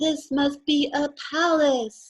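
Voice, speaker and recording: A woman puts on a character voice pitched high. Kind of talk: children's storytime reading. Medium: read story. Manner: wide-eyed, wondering.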